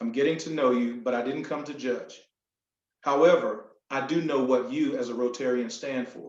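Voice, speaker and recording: A man with a North Carolina accent speaks at a moderate pace, with a fairly high pitch and ordinary pitch variation. Audible room echo surrounds his voice. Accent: Southern US (North Carolina). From US South, North Carolina (Sampson County). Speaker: motivational speaker. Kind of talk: speech. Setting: video call.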